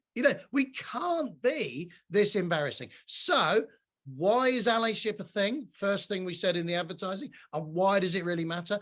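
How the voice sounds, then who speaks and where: A man talks loudly at a high pitch with lively intonation. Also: moderate pace. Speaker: diversity and allyship speaker. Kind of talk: online presentation. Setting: video call from home.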